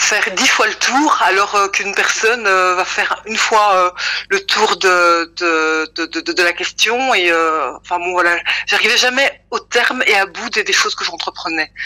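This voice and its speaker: Bright, sharp tone from a woman at a medium pitch, with ordinary pitch variation and a fairly slow pace. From Belgium, Brussels. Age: 40s. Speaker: testimony giver. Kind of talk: testimony. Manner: halting, many fillers.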